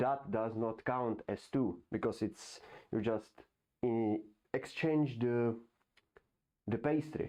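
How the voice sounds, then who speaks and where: With a non-native accent, a man speaks at a very slow pace in a dark, mellow tone, at medium pitch with ordinary pitch variation. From Europe. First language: not English. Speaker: YouTuber. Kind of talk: casual monologue. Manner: halting.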